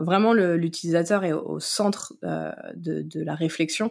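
A woman speaks at a fairly low pitch. The recording is very clean with a silent background. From France, Vendée coast (Noirmoutier). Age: 20s. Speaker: content marketing manager. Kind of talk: casual interview chat. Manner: hesitant, many fillers and repetitions.

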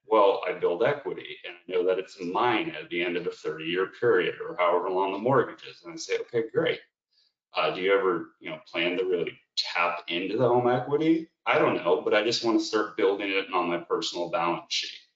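A man talks at a fairly quick pace, his loudness swinging widely. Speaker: financial benefits presenter. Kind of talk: webinar presentation. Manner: good-humored.

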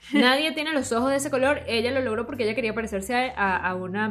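A woman talks in a high pitch, her intonation lively. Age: 30s. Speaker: podcast co-host. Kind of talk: casual chat.

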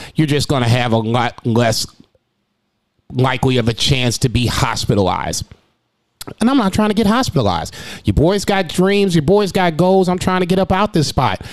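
A man with a fairly high pitch and very wide pitch swings, very even loudness, a moderate pace and long, frequent pauses. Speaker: restaurant server and podcast host. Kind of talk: casual monologue.

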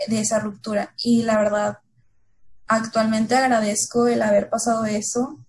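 The voice is somewhat breathy and moves at a fairly slow pace in a monotone, flat intonation. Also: woman. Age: 20s. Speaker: consultant, contest-winning guest. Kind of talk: casual chat.

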